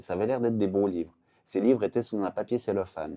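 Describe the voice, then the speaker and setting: This voice has a dark, mellow tone and fairly even intonation. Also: man. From Switzerland, canton of Vaud. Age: 40s. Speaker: artist. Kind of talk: casual chat. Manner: hesitant, many fillers.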